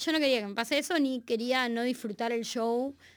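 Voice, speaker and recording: With an unremarkable speaking voice, a woman talks at a moderate pace in a fairly high pitch on a very clean recording with a silent background. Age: 30s. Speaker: musician. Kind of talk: casual chat.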